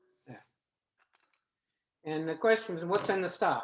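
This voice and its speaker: Ordinary pitch variation and audible room echo in a man's voice. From New Orleans. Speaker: home cook. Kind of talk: cooking demonstration. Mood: relaxed, chatty. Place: kitchen. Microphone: camera far.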